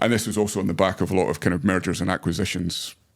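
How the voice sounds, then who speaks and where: Speaking with a British accent, a man with a very deep, low pitch keeps his intonation fairly even. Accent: UK accent, noticeable. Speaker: data management executive. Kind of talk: podcast interview. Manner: hesitant with many fillers.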